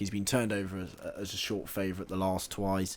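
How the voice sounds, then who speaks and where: Speaking at a very fast pace, a man talks with an English accent. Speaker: horse racing tipster. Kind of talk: casual chat.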